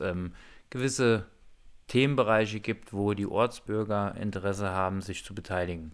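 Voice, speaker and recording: A man with a normal speaking voice talks in a fairly low pitch with ordinary pitch variation, recorded very cleanly against a silent background. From Hunsrück, southwestern Germany. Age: 30s. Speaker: assembly manager and village energy activist. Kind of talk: interview. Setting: walking outdoors through village.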